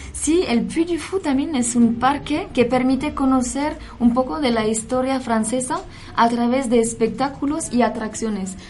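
With audible room echo and noticeable background noise, a woman speaks at a fairly slow pace in a high pitch. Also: ordinary pitch variation. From France. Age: 20s. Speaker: cultural center staff. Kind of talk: radio chat.

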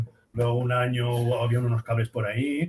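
This man's voice sits at a medium pitch. There is some breathiness to it. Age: 50s. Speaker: architect and music student. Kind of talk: casual chat.

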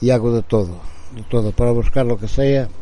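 A man at a medium pitch talks at a fairly slow pace. His pitch varies in an ordinary way. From Portugal, Bragança. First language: Portuguese (speaking Spanish). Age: 60s. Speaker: formerly homeless man. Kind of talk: testimony. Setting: outdoor porch. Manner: halting.

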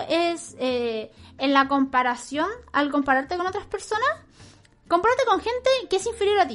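The voice rises and falls in very wide pitch swings. Its pace is moderate. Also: woman. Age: 20s. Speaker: streamer and podcast host. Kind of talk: advice call-in chat.

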